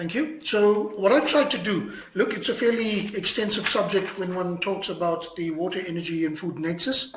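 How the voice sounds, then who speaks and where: Over noticeable background noise and audible room echo, a man with a high pitch and ordinary pitch variation speaks at a fairly slow pace. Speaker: lecturer. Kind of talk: lecture.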